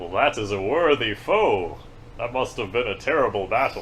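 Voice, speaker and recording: A man does a put-on character voice at a medium pitch. His pitch swings very widely, and background noise is clearly audible. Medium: actual play. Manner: formal, self-important.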